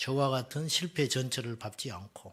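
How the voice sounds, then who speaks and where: In a very clean recording with a silent background, a man with a Jeolla accent speaks at a fairly slow pace in a bright, sharp tone. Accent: Jeolla dialect, still noticeable. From South Jeolla, Korea (Suncheon). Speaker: pastor. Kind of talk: seminar talk.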